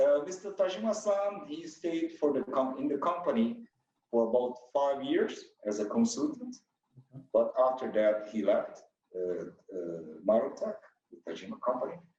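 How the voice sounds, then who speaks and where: Speaking at a moderate pace with long, frequent pauses, a man talks in a Brazilian accent. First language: Portuguese. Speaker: company president. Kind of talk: interview. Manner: halting.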